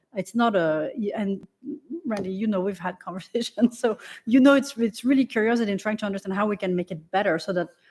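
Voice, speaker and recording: Over a silent background in a very clean recording, a woman with a French accent talks at a fairly quick pace with ordinary pitch variation. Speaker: select board member. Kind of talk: public meeting discussion. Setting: town meeting room, broadcast.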